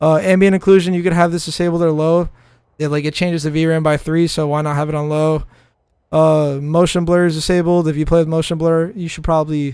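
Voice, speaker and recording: Talking at a very fast pace, a man sounds animated with a fairly high pitch. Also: very clean recording, silent background. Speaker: gaming streamer. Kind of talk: tutorial. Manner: casual, animated.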